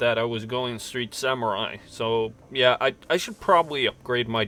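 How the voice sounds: Natural reading voice, nothing more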